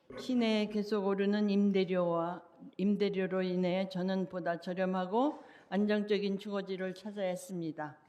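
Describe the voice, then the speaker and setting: A woman speaks at a fairly quick pace with a dark, mellow tone, medium pitch and fairly even intonation, with audible room echo. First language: Korean. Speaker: public commenter. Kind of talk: public comment speech. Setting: city council meeting.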